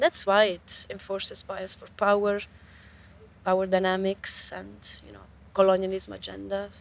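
With an Italian accent, a woman talks at a moderate pace, her loudness swinging widely. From Italy. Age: young. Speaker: researcher and open science advocate. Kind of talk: interview. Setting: outdoors by a river. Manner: animated.

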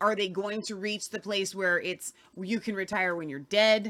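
A woman's ordinary speaking voice at a medium pitch, with ordinary pitch variation and a fairly slow pace. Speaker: podcast host.

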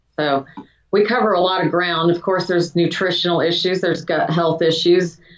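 An ordinary speaking voice from a woman, fairly low in pitch and fairly quick, with very even loudness and fairly even intonation. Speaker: doctor, hormone and wellness clinic owner. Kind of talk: interview, explaining medical topic.

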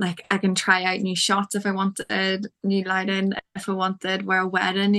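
Against a quiet background, a woman with an Irish accent speaks in a bright, sharp tone. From Ireland. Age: 20s. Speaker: fitness photographer. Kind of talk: casual interview.

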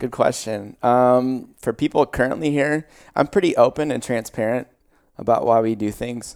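Recorded very cleanly with a silent background, a man speaks with a Midwestern US accent and ordinary pitch variation. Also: medium pitch for a man, moderate pace. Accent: US Midwest. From Iowa, Des Moines area (moved from Pittsburgh area as a child). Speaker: gym owner and former baseball player. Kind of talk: casual interview. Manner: hesitant fillers.

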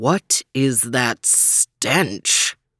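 A growling, rumbling put-on character voice. Its pitch sits in the low-to-middle range.

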